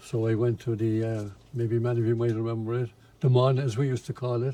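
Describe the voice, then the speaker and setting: A man with a Cork accent speaks at a moderate pace and medium pitch, with fairly even intonation. His tone is dark and mellow, and somewhat breathy. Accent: Irish, Cork. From Ireland, Limerick then Cork. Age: 80s+. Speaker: retired factory supervisor and amateur painter. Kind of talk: interview testimony. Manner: halting, many fillers.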